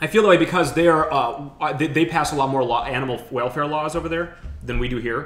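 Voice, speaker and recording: Very fast speech from a man with a fairly high pitch, ordinary pitch variation and noticeable background noise behind it. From Ukraine. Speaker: podcast host. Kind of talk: casual chat.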